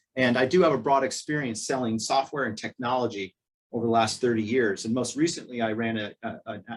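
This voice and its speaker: Speaking very fast, a man with a medium pitch shows ordinary pitch variation. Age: 50s. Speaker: gym owner. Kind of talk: webinar interview.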